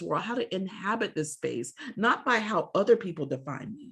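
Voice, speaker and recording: In an animated tone and with an American accent, a woman talks at a moderate pace, her pitch swinging very widely, with vocal fry. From grew up moving around, US military family, Southern roots. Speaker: poet. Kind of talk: interview.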